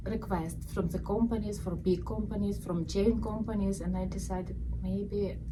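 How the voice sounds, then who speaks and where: Noticeable background noise surrounds a woman's voice. Her words echo audibly in the room. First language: not English. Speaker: balloon shop owner. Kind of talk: casual interview. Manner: halting.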